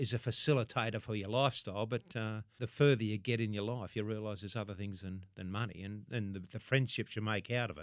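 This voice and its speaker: Talking at a very fast pace, a man with an Australian accent has a fairly low pitch and fairly even intonation. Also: hardly any pauses. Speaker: former rugby league player. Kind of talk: interview.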